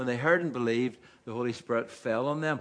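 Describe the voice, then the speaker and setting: A man speaks with a Northern Irish accent. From Northern Ireland, Carryduff. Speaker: preacher. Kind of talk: sermon.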